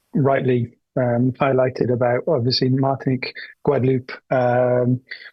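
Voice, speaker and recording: Somewhat breathy and medium in pitch, a man speaks at a moderate pace with monotone, flat intonation. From UK. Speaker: conference participant. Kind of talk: open-floor comment at online forum. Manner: hesitant, many fillers.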